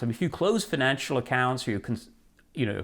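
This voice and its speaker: With vocal fry, a man speaks at a very fast pace. The recording is very clean, with a silent background. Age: 60s. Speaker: personal finance writer. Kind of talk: interview. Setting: recorded interview, seated.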